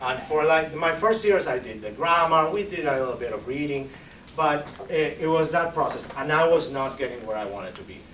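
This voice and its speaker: A man's fairly high voice in a Spanish accent, at a fairly quick pace with big swings in loudness, amid noticeable background noise and audible room echo. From Argentina. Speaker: Spanish teacher. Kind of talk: conference presentation Q&A. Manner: halting.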